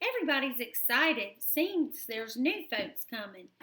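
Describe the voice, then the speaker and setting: In a put-on character voice, a woman speaks high-pitched and raised, projecting at a moderate pace with very wide pitch swings. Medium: read story.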